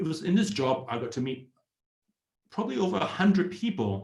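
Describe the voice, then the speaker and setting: Audible room echo surrounds a man speaking at a moderate pace with very wide pitch swings. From Australia, Sydney. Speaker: startup community founder, ex-tech employee. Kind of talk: online presentation. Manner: hesitant, with fillers.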